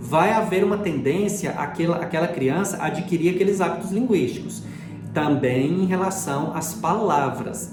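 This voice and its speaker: With a Goiás accent, a man talks at a moderate pace in a high voice with ordinary pitch variation, while music plays in the background and the room echo is audible. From Brazil, Goiás. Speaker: linguistics educator. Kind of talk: lecture. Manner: casual explanatory with hesitations.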